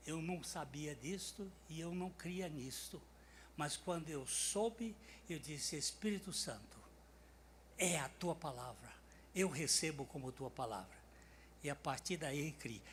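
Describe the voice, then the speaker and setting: A man with a fairly high pitch and vocal fry speaks at a fairly slow pace, with ordinary pitch variation and long, frequent pauses. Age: 80s+. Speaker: preacher. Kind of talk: sermon.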